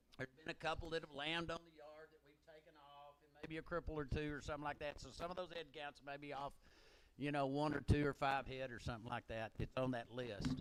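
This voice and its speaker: With an American accent, a man talks at a very fast pace, his intonation fairly even but his loudness swinging widely. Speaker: livestock auctioneer. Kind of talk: auction announcements. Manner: casual, halting with repetitions.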